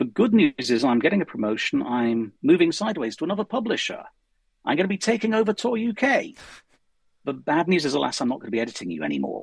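A man talks at a fairly quick pace with vocal fry and very wide pitch swings. The sound is dry and close, with no echo. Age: 50s. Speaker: science fiction writer. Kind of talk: interview.

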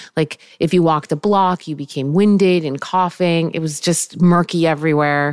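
Speaking at a moderate pace with hardly any pauses, a woman uses a normal speaking voice, fairly low in pitch and fairly even in intonation. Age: 40s. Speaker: fashion entrepreneur. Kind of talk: casual chat.

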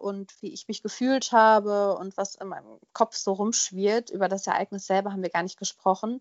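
A woman with an unremarkable speaking voice, fairly even intonation and a moderate pace. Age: 20s. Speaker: podcast guest sharing personal story. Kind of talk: personal testimony interview.

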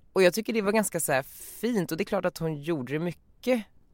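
A man's voice is captured on a very clean recording, the background silent. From Sweden, Västerås. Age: 20s. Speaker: media entrepreneur, podcast host. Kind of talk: casual chat.

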